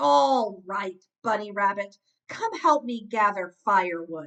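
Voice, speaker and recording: A woman puts on a character voice that is gruff and growling, at a medium pitch. She goes at a fairly slow pace with lively intonation. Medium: read story. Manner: gruff, snarling.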